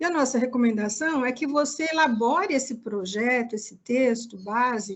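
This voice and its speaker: At a moderate pace and with hardly any pauses, a woman speaks in a high voice with ordinary pitch variation. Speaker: project evaluation consultant. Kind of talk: online workshop presentation. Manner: didactic, many fillers.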